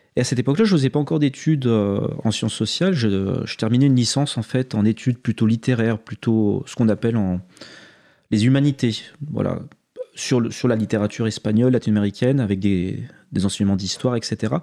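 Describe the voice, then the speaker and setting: A man talks at a medium pitch in a dark, mellow tone. The background is quiet. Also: ordinary pitch variation, fairly quick pace. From France, Haute-Savoie. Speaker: sociologist. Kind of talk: interview. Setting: studio.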